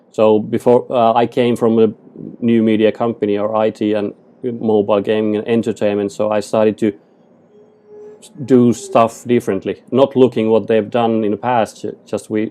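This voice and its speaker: The voice has a dark, mellow tone and monotone, flat intonation, with a Finnish accent. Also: man, medium pitch for a man, moderate pace. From Finland. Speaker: photographer and digital artist. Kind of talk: podcast interview. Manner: halting.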